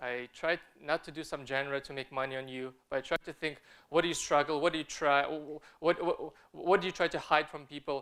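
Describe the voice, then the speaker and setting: A man with a non-native accent talks very fast in a bright, sharp tone at a fairly high pitch. His intonation is fairly even, and the recording is very clean with a silent background. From Kazakhstan (Almaty). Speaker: film director and artist. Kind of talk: conference talk. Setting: stage with audience. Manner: halting, many fillers and repeated words.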